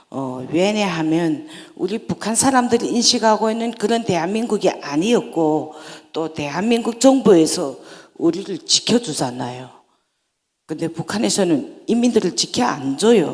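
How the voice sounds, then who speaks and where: In a North Korean accent, a woman speaks at a fairly slow pace with vocal fry and very wide pitch swings. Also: medium pitch for a woman. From North Korea, North Hamgyong. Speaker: North Korean defector speaker. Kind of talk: public talk.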